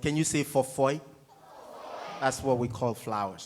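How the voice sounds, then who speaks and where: A man with a Ghanaian accent, medium in pitch, animated in tone, with ordinary pitch variation. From coastal Ghana. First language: Ga. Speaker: touring musician. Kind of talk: student Q&A. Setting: theatre stage with audience.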